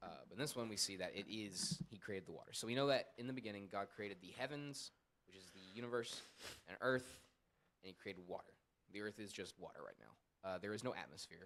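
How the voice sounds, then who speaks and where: Loudness rises and falls sharply as the speaker talks at a very fast pace with ordinary pitch variation. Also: man, fairly low pitch for a man. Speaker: church show co-host teaching Bible. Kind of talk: casual Bible study discussion. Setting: church with small audience. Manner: stutter.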